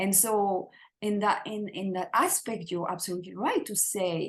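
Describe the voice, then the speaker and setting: This woman has a French accent and a somewhat breathy voice at a medium pitch. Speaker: spiritual teacher. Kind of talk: interview conversation. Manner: halting, many repeated words.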